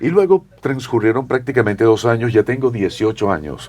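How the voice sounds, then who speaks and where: A man's medium-pitched voice with vocal fry, very wide pitch swings and a moderate pace. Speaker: veteran radio and television broadcaster. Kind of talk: interview answer.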